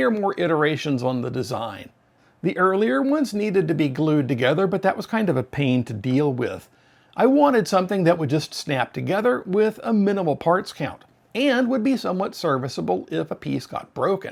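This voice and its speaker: Very wide pitch swings mark this man's high voice as he talks at a fairly quick pace on a very clean recording with a silent background. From United States. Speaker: 3D printing YouTuber. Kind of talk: tutorial. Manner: casual, conversational.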